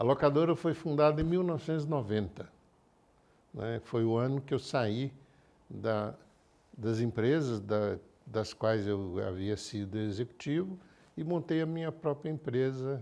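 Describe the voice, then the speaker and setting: Long, frequent pauses break up a fairly slow delivery with lively intonation and a dark, mellow tone. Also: man, medium pitch for a man. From Minas Gerais, Brazil. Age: 70s. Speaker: engineer and car rental founder. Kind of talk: interview. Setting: studio.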